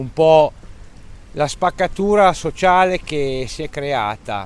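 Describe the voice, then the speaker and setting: A man with a fairly high voice and ordinary pitch variation talks at a very slow pace. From Italy, Romagna (Cesenatico). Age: 40s. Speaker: expat family father, former warehouse manager. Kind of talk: casual interview.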